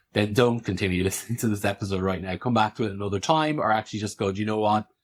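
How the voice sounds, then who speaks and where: A man with an Irish accent talks at a very fast pace in a fairly low pitch. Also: ordinary pitch variation. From rural Ireland. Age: 30s. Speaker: podcast host and practitioner. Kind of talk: interview, guest seat.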